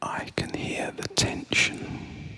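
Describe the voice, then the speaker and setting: A very slow whisper with noticeable noise behind it. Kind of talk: nostalgic sleep story narration. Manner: soft-spoken.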